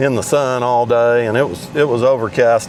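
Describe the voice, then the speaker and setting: A man speaks at a moderate pace and medium pitch over noticeable background noise. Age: 60s. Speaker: amateur golf vlogger. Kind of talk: casual vlog monologue. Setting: in a car. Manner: halting.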